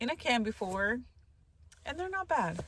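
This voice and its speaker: A woman mumbles at a high pitch, her voice making very wide pitch swings. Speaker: van life vlogger. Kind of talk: casual cooking vlog. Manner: mumbles, talks under breath.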